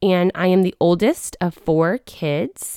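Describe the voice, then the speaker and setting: A woman with a Midwestern accent speaks at a fairly low pitch, with ordinary pitch variation. The recording is very clean and dry, with a silent background and close sound with no echo. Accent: General American (Midwest). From Wichita, Kansas. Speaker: podcast co-host. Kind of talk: testimony. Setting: studio.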